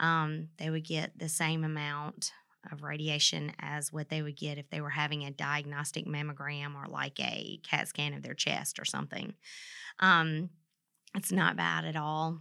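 A bright, sharp tone in a Southern US accent, with monotone, flat intonation, in a very clean recording with a silent background. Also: woman, very deep, low pitch for a woman, moderate pace. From Mississippi. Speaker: nuclear medicine technologist. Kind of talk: interview about health topic.

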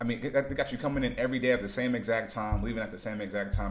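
Audible room echo carries a man's voice, which has fairly even intonation. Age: 30s. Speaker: vlogger. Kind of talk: casual monologue. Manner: halting.

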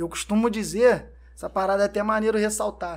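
A man speaking at a fairly quick pace. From Brazil, São Gonçalo (Rio de Janeiro state). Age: 30s. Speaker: entrepreneur, clothing brand owner, former footballer. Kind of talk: casual interview chat.

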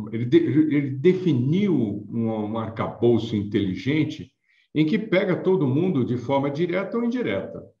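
At a fairly slow pace, a man speaks in a somewhat breathy voice at a medium pitch with very wide pitch swings. Audible room echo surrounds him. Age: 60s. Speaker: payments consultant and author. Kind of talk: interview.

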